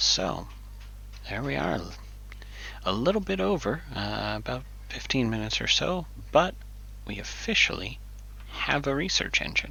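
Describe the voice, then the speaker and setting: A man talks at a moderate pace with long, frequent pauses. Room echo is audible. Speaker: software developer streamer. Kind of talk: live coding tutorial. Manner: casual, hesitant with fillers.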